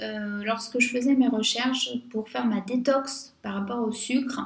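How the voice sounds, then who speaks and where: With a French accent, a woman speaks at a very slow pace amid audible room echo. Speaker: beauty youtuber. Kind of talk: casual vlog monologue. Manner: hesitant, many fillers.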